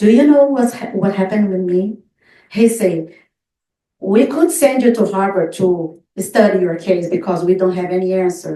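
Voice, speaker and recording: A woman speaks at a moderate pace in a medium pitch, with a dark, mellow tone and ordinary pitch variation. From Brazil. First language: Portuguese. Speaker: near-death experience survivor. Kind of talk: testimony with Q&A. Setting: in-person group meeting, also on video call.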